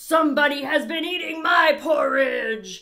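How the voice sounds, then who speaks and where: A put-on character voice, high-pitched and gruff, moves at a moderate pace. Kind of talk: storybook. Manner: grumbling.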